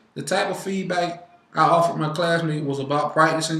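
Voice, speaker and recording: Fairly high-pitched, a man talks with fairly even intonation. Noticeable background noise and audible room echo run through the clip. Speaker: student. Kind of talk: class presentation. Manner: fast.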